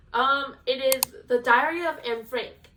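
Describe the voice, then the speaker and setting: With a Spanish accent, a woman speaks in a high pitch. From Venezuela. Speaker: book vlogger. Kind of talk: casual chat. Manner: casual, filler-heavy.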